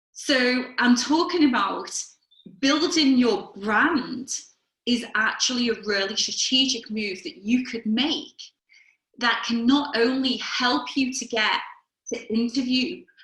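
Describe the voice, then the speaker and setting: In a Liverpool accent, a woman speaks at a high pitch with ordinary pitch variation. Her pace is very slow. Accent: Liverpool (Scouse). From Liverpool, England. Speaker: career coach. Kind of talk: webinar talk. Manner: conversational.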